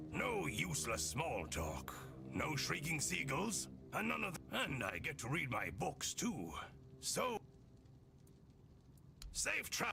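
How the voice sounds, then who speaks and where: Over clear music in the background, a man speaks in a raspy, put-on character voice. His pace is fairly slow, broken by long, frequent pauses. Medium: video game.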